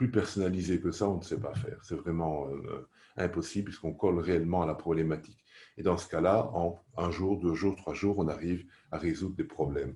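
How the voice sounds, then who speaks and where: The tone is dark and mellow, somewhat breathy. The pace is moderate. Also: man, very deep, low pitch for a man, ordinary pitch variation, quiet background. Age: 60s. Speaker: aromatherapy teacher. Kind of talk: course presentation.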